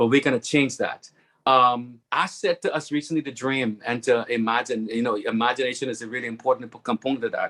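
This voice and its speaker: The tone is bright and sharp, the pace moderate, and the sound dry and close with no echo. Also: man. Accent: Bahamian. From Bahamas. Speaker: webinar speaker, network marketing member. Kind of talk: testimonial speech on webinar.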